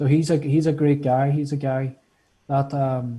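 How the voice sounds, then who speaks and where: Very slowly and with fairly even intonation, a man speaks at a fairly high pitch in a somewhat breathy voice with a dark, mellow tone. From Northern Ireland. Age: 20s. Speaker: guest, health care student. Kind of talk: casual interview chat.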